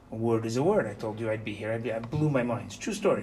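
A man's animated, very fast delivery in a room with audible echo. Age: 50s. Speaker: yeshiva rabbi teaching Torah portion. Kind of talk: Torah class.

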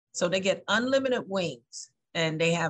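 A woman with a medium pitch speaks at a moderate pace. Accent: American. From US South. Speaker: festival organizer. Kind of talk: interview. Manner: hesitant with fillers.

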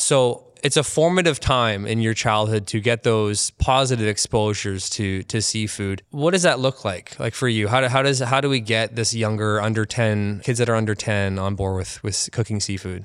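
With hardly any pauses, a man in a plain, everyday voice talks at a moderate pace with a medium pitch and ordinary pitch variation in a very clean recording with a silent background. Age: 30s. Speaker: podcast host. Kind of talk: interview; scripted intro. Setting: expo venue.

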